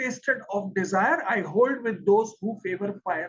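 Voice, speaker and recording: A man with an Indian accent speaks at a fairly slow pace. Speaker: English teacher. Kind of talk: lecture. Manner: slow with pauses.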